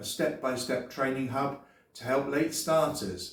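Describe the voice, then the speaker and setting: A man with an English accent speaks at medium pitch. His voice is somewhat breathy, and audible room echo surrounds it. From England. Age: 60s. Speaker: YouTuber and former English teacher. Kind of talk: sales pitch.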